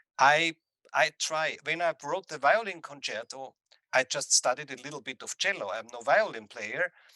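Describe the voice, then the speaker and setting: A man with a bright, sharp tone and fairly high pitch speaks at a moderate pace with ordinary pitch variation and big swings in loudness, in a dry, close sound with no echo. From Austria. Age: 60s. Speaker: composer. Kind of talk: interview. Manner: halting.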